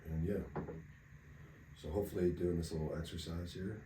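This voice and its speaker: A man speaks quietly at a very deep, low pitch, with a dark, mellow tone and a somewhat breathy quality. Audible room echo hangs around his voice. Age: 30s. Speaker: podcast co-host. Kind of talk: casual chat.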